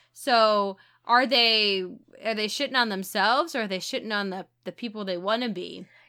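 Speaking in an American accent, a woman uses a normal speaking voice, pitched fairly high, with ordinary pitch variation at a moderate pace. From St. Louis, Missouri (US Midwest). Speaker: podcast co-host. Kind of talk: casual chat.

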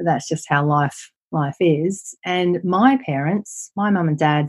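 With an Australian accent, a woman speaks at a very deep, low pitch. Her pitch varies in an ordinary way. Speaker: property investment and wealth coach. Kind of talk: interview.

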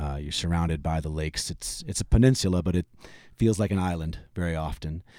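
A very deep, low male voice with a dark, mellow tone and an American accent, at a fairly quick pace, in a very clean recording with a silent background. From Michigan (Detroit area). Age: 40s. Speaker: singer-songwriter. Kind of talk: casual chat. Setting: in person at the host's home.

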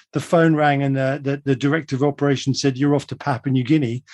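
With a southern English accent, the speaker talks at a very fast pace. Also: man. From England, London then Surrey. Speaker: global forecaster. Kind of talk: radio interview.

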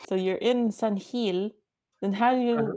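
A woman's dark, mellow tone with an American accent and fairly even intonation. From Washington, D.C. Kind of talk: casual interview chat.

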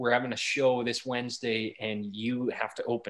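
Speaking with a Canadian Prairie accent, a man keeps a medium pitch and a moderate pace. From Alberta prairies, Canada. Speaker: country singer. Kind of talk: interview.

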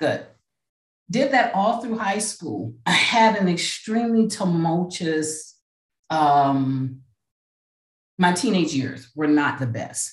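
Speaking very slowly, a woman uses a fairly low, somewhat breathy voice with very wide pitch swings. She takes long, frequent pauses. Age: 50s. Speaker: podcast host and life coach, pastor. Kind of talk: casual interview as guest in hot seat; podcast monologue. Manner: animated.

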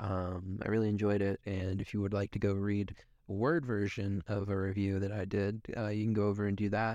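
Against a quiet background, a man speaks at a fairly low pitch with monotone, flat intonation. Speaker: film podcast host. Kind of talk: reading aloud; casual chat.

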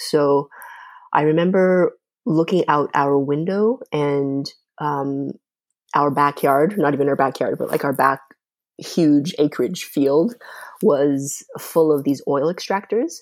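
A woman with a Canadian accent speaks at a very slow pace in a very deep, low voice with ordinary pitch variation, on a very clean recording with a silent background. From Canada (Calgary, Alberta; born in China). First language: Mandarin. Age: 30s. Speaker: podcast host. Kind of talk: interview. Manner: hesitant, many fillers.

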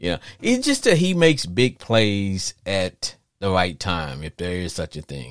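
A man with a Louisiana accent speaks at a moderate pace in a very deep, low voice, animated in tone with lively intonation and big swings in loudness, the sound dry and close with no echo. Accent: Cajun Southern US. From US South (Louisiana/Arkansas). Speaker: podcast host. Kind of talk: live call-in sports talk show. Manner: animated, jokey, laughs often.

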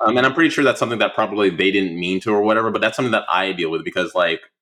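A man speaks at a medium pitch with a bright, sharp tone. His pitch moves in an ordinary way. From Oceanside, California. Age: 30s. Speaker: content creator. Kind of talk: casual interview. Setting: remote call. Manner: halting.

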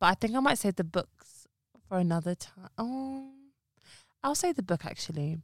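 A woman with a London accent talks at a medium pitch and a moderate pace, her pitch swinging very widely and her speech broken by long, frequent pauses, in a dry, close sound with no echo. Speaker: podcast co-host and pharmacist. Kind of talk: casual chat.

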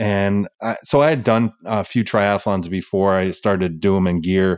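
Here a man has an unremarkable speaking voice, a fairly low pitch and a fairly slow pace. The sound is dry and close with no echo, and the recording is very clean with a silent background. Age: 40s. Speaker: firefighter and endurance athlete. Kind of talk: interview.

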